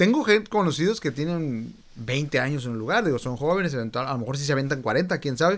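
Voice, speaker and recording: Talking at a very fast pace with hardly any pauses, a man with a fairly high voice comes through on a very clean recording with a silent background. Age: 30s. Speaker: podcast host. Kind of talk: casual interview.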